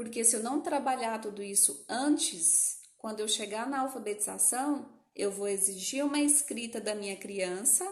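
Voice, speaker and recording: A woman talks with lively intonation. Room echo can be heard around her voice. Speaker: educational psychologist. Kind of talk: live-stream lecture.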